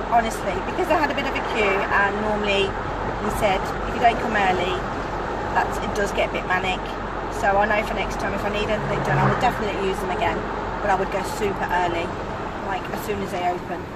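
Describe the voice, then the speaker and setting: A woman at a very fast pace, dry with no echo, over loud background noise. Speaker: vlogger. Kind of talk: casual vlog chat. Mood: indignant, chatty. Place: car. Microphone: phone near.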